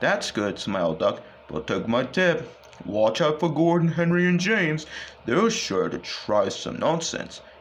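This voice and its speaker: A man puts on a character voice at a fairly high pitch. He talks at a moderate pace over clear background noise. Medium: read story.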